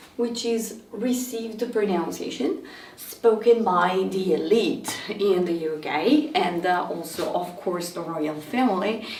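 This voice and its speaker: With an American accent, a woman talks very slowly at medium pitch with lively intonation and hardly any pauses, amid audible room echo and noticeable background noise. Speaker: English teacher. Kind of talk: lecture.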